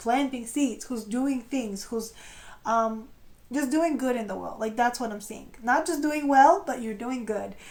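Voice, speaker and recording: A high-pitched woman at a moderate pace, ordinary pitch variation, with audible room echo. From Europe. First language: non-English European language. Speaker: tarot reader. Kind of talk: tarot reading. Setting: on camera. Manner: casual, hesitant with fillers.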